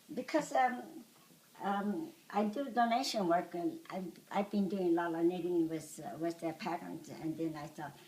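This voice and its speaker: Against noticeable background noise, the speech proceeds at a moderate pace. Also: woman. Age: 80s+. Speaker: volunteer knitter. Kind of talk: interview answer.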